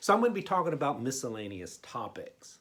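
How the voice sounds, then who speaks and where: A very clean recording captures a man against a silent background. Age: 60s. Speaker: pastor. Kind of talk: sermon. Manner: conversational, frequent fillers and repetitions.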